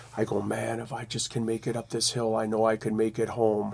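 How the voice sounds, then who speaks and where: A man with an unremarkable speaking voice, medium in pitch, at a moderate pace. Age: 60s. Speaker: blues guitarist and songwriter. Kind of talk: casual interview chat. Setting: studio.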